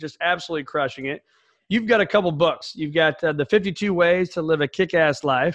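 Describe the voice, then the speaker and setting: In a quiet background, a man with a high voice talks at a fairly quick pace. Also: ordinary pitch variation. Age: 40s. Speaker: podcast host. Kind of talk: casual interview chat.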